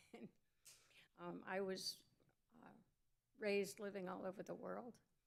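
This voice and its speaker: A woman at medium pitch speaks with vocal fry. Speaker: commission applicant at city council. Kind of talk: public comment speech. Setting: council chamber, in person.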